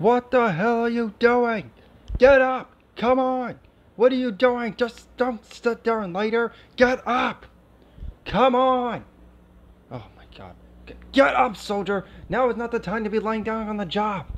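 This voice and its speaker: In a put-on character voice, the speaker moves at a fairly slow pace with long, frequent pauses. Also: man, extremely high pitch for a man. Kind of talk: ASMR role play. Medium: role play. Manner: shouting, urgent.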